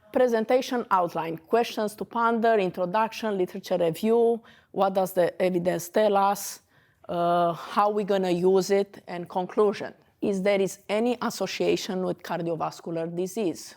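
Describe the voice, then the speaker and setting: A woman with a Romanian accent speaks at a moderate pace with a medium pitch and ordinary pitch variation. The recording is very clean, with a silent background. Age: 40s. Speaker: dentist. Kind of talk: lecture. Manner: halting.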